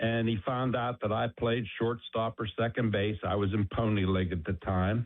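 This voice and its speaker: A man with an American accent, medium pitch, moderate pace and an unremarkable speaking voice. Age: 60s. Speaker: caller. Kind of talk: phone-in anecdote.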